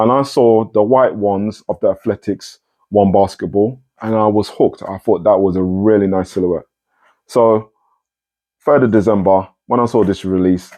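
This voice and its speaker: A man's fairly low voice with a British accent, fairly even intonation and a moderate pace. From UK. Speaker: sneaker reviewer. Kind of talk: casual unboxing review. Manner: casual, self-correcting.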